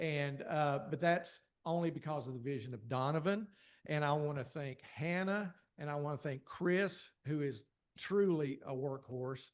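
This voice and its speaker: With a strong Appalachian accent, a man speaks at a moderate pace in a fairly high pitch with ordinary pitch variation. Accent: strong rural Appalachian. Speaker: church communications director. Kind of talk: casual thank-you remarks to a class.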